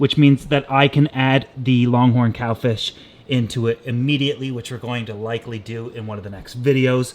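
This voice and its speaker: A man talks loudly. His pace is moderate. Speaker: aquarium DIY YouTuber. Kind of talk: casual vlog talk to camera. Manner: animated.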